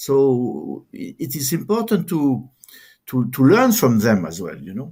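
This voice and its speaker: A man with a dark, mellow tone and fairly high pitch speaks at a fairly slow pace, his pitch swinging very widely with vocal fry. The recording is very clean, with a silent background. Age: 70s. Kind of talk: interview conversation. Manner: halting, many repetitions.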